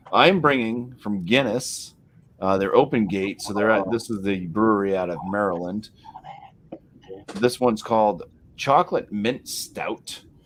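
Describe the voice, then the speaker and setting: A man with a New England accent, fairly low in pitch, at a fairly slow pace with ordinary pitch variation and long, frequent pauses. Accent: Yankee. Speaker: beer review show host. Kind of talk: casual beer tasting chat.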